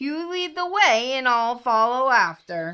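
Using a put-on character voice, a woman speaks at a fairly slow pace in a high pitch, her tone bright and sharp yet clear and smooth, with big pitch swings.

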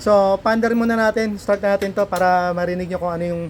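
The man talks very fast. His intonation remains fairly even. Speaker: motorcycle mechanic and vlogger. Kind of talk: casual video vlog, shop demonstration.

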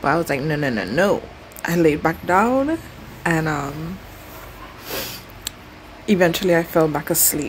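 A woman talks with a fairly low pitch at a moderate pace. There is light background noise. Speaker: travel vlogger. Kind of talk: casual vlog chat. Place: home room. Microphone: phone near.

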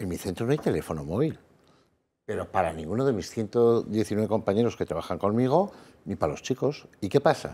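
A man speaks at a fairly low pitch. His voice moves in very wide pitch swings. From Basque Country, Spain. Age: 60s. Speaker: psychologist; guest. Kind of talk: panel debate. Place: studio. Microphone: lapel.

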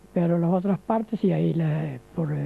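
Speaking at a fairly slow pace, a man uses a high pitch. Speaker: elderly immigrant telling his life story. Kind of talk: elder life story, recounting his sea voyage to Argentina as an immigrant. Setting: interview. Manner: repeats himself while explaining details. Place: street. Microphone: handheld.

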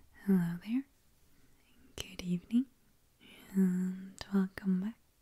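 A soft-spoken woman whispering at a very slow pace against a quiet background. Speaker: ASMR creator. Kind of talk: ASMR roleplay, personal attention. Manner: soft-spoken, whispering. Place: home room. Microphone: studio mic.

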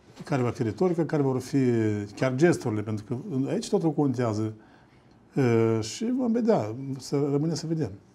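Pausing long and often, a man speaks at a moderate pace with lively intonation and a fairly high pitch. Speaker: political analyst. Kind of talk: panel discussion on TV. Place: studio.

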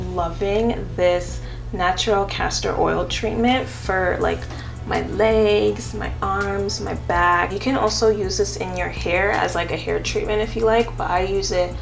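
Clear music plays in the background as a woman speaks at a fairly slow pace. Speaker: beauty vlogger. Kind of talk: casual vlog chat. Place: home room.

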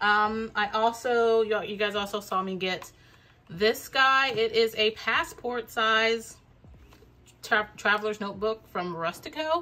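A woman is speaking. Light background noise sits behind her voice. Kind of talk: casual haul vlog chat. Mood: excited, enthusiastic.

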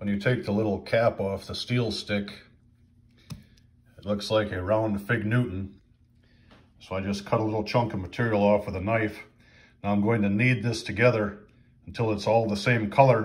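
At a moderate pace, a somewhat breathy man speaks at a fairly low pitch in a monotone, flat intonation, with long, frequent pauses. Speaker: DIY repair demonstrator. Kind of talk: tutorial. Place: home room. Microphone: phone near.

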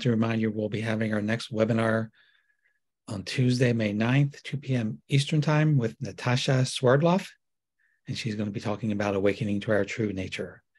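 With a normal speaking voice, a man talks at a moderate pace and medium pitch, using ordinary pitch variation. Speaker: webinar host. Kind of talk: casual moderating. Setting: video call.

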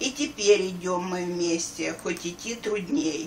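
Her voice sits at a medium pitch, and her intonation is lively as she talks at a very slow pace. Light background noise can be heard behind this woman. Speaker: grandmother. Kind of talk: reading aloud. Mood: warm, festive. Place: home room. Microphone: camera far.

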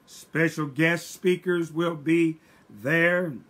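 The speech moves at a very slow pace. The speaker is a man. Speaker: church pastor. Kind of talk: church announcements. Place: home room. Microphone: webcam.

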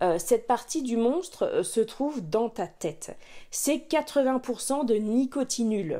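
Speaking at a very slow pace, a woman uses a high pitch, a dark, mellow tone and lively intonation. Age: 30s. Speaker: YouTuber on saving money, former smoker. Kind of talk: personal story time, podcast-style monologue. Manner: hesitant, many filler words and repetitions.

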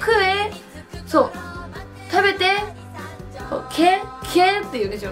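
A woman speaks at an extremely high pitch. Clear music plays in the background. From Iwate, Japan. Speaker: tourism promoter. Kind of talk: casual talk to camera. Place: home room.

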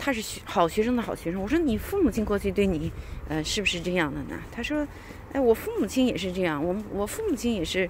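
A woman's lively intonation at a fairly quick pace, with a dry sound with no echo and light background noise. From China. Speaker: vlogger. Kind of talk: casual monologue. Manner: hesitant, many fillers. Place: street. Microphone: phone near.

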